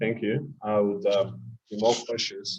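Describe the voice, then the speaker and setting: The man's voice sits at a medium pitch. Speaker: programming teacher. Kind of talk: online class Q&A. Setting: video call. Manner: fast.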